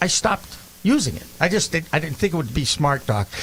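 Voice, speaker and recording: Over noticeable background noise, a man with an American accent speaks at a high pitch with very wide pitch swings. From Boston. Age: 60s. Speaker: podcast host. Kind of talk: casual chat.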